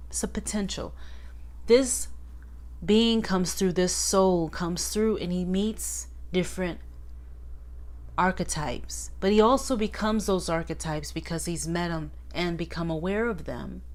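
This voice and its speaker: A woman speaks at a moderate pace with long, frequent pauses, and audible room echo surrounds her. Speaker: tarot teacher and channel host. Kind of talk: casual tutorial monologue. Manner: talking up louder than usual.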